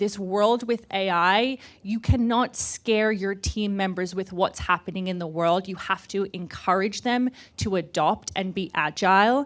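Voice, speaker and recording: The speaker has an Australian accent and talks at a fairly slow pace with ordinary pitch variation. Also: woman. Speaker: startup founder. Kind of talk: panel discussion.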